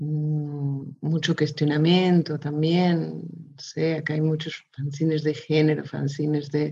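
Speaking at a very slow pace, a woman with a slight Spanish accent uses a very deep, low pitch, a dark, mellow, somewhat breathy tone and monotone, flat intonation. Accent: slightly Spanish-tinged Portuguese. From Portugal, raised in Mozambique. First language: Portuguese (speaking Spanish). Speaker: illustrator. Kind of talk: casual interview. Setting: video call.

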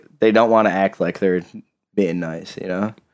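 At a fairly quick pace, a man talks in a normal speaking voice, fairly low in pitch and fairly even in intonation. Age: 20s. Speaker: podcast co-host and aspiring rapper, factory worker. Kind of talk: casual chat.

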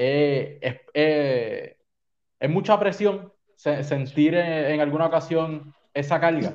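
A man's fairly high voice at a very slow pace, with ordinary pitch variation and very even loudness. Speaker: podcast host and sports broadcaster. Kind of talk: casual interview chat.

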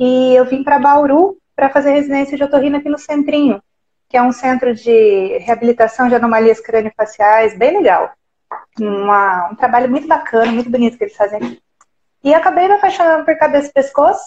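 A woman with a high pitch speaks fairly quickly, her intonation lively. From Minas Gerais, Brazil (south). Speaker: ENT doctor. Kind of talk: live video interview.

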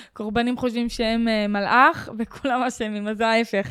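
On a very clean recording with a silent background, a woman speaks at a moderate pace and fairly high pitch in a monotone, flat intonation. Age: 20s. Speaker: podcast host. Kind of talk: casual interview.

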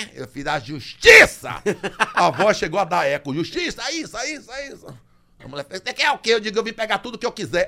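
A man projects a raised voice at a high pitch, with very wide pitch swings and big swings in loudness. His tone is bright and sharp, and his pace is fairly quick. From Brazil, Bahia (Salvador). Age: 60s. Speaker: comedian. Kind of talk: casual chat.

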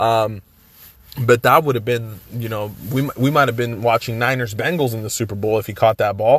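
The speaker has an American accent and an animated tone. Noticeable background noise sits behind the voice. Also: man. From Los Angeles, US West Coast. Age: 30s. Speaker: sports podcast host. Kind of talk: casual solo podcast commentary. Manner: animated, many fillers and restarts.

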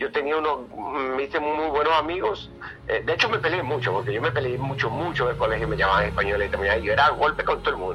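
Noticeable background noise sits under a man who speaks at a very fast pace. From Venezuela. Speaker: explorer. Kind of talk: storytelling interview.

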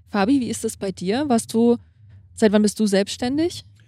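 Her pitch is fairly high. The woman's tone comes across dark and mellow. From Lithuania. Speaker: athlete and sports camp operator. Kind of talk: casual interview. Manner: hesitant with fillers.

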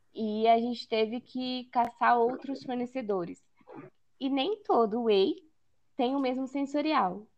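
A woman's fairly high pitch with ordinary pitch variation, an ordinary speaking voice. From Brazil, São Paulo interior. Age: 20s. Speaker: food engineering student and product development analyst. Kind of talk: casual interview chat.

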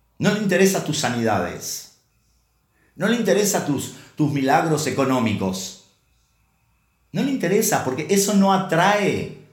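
Audible room echo surrounds a man speaking at a high pitch with lively intonation and long, frequent pauses. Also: fairly slow pace. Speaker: preacher. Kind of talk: sermon. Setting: online church service. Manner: halting, with many repeated words.

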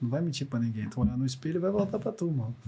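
A man with a fairly high pitch sounds somewhat breathy and uses ordinary pitch variation. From Minas Gerais, Triângulo Mineiro. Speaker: former footballer and coach. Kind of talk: casual chat.

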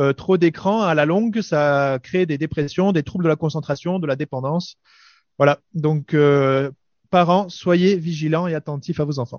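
A man with a fairly high voice talks fairly slowly, and his pitch shifts an ordinary amount. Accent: southern French. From southern France. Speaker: radio panelist, parent. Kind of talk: casual chat.

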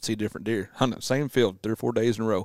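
At a very fast pace, a man with a Southern accent speaks in a fairly low pitch. The sound is dry and close with no echo, on a very clean recording with a silent background. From US South. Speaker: whitetail deer hunter. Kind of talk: casual chat.

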